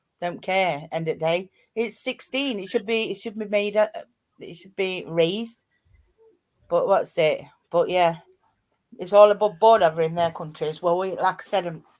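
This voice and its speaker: A woman with a strong East Midlands accent, medium pitch, ordinary pitch variation, moderate pace, long and frequent pauses, and big swings in loudness. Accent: thick East Midlands. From East Midlands, Nottinghamshire. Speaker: live streamer. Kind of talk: casual chat. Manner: animated.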